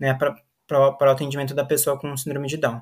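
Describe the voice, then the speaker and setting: Using a plain, everyday voice, a man speaks at a fairly quick pace with a fairly high pitch. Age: 30s. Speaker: pedagogue at a Down syndrome center. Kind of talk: podcast interview.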